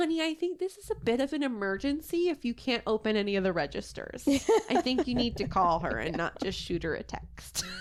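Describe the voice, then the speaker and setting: A woman speaks at a high pitch with very wide pitch swings and hardly any pauses. Noticeable background noise is present. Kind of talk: casual podcast conversation.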